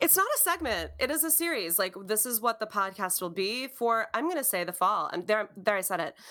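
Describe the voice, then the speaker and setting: A woman with an American accent, fairly high and bright, sharp in tone, at a fairly quick pace with hardly any pauses and very wide pitch swings. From Wisconsin. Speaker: podcast co-host. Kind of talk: casual chat.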